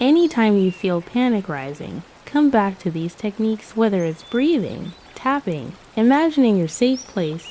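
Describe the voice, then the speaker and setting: A soothing, calm tone at a fairly slow pace with lively intonation, over noticeable background noise. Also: woman. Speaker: meditation guide. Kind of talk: guided meditation.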